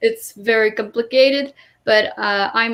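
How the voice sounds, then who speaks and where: A woman with a Quebec accent, fairly high in pitch, at a moderate pace and with ordinary pitch variation. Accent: French Canadian accent in English. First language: French. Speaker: English teacher in Japan. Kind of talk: livestream panel talk.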